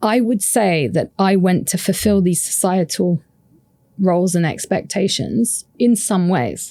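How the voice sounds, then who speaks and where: Slow-paced, a woman speaks in a dark, mellow tone with very even loudness. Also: medium pitch for a woman, ordinary pitch variation. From UK. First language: French. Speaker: happiness researcher and author. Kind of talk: podcast interview.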